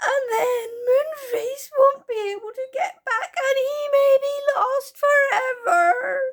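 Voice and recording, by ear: A squeaky put-on character voice moves at a slow pace with ordinary pitch variation. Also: woman, extremely high pitch for a woman.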